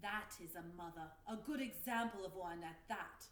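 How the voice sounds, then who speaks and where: Light background noise sits under a put-on character voice. The pace is moderate. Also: woman, medium pitch for a woman. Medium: read story. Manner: commanding, theatrical.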